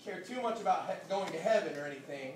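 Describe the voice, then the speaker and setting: In a room with audible echo and noticeable background noise, a man speaks with a Southern US accent. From US South, Georgia (Woodstock). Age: 30s. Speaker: pastor. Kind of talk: speech to graduates.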